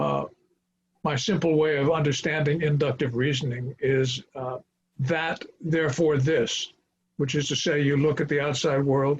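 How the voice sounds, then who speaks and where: A man's fairly high, somewhat breathy voice holds a flat monotone. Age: 80s+. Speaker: former international banker. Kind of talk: interview. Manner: halting, many filler words; slow.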